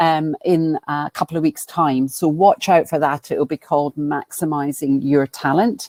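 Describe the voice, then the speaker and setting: A woman in a Scottish accent talks in a very deep, low voice with fairly even intonation. The sound is dry and close, without echo. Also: moderate pace. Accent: Scottish twang. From Scotland, Glasgow. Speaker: business coach and professional speaker. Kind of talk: webinar presentation. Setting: online webinar.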